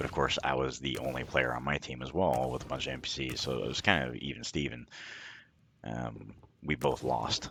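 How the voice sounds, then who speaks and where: Vocal fry in a man's very deep, low voice, moving at a moderate pace. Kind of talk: gameplay commentary voice-over. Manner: monotone.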